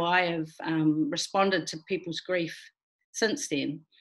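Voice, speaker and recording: A plain, everyday voice: a woman at medium pitch, fairly slow, with lively intonation. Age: 60s. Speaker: filmmaker. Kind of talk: interview.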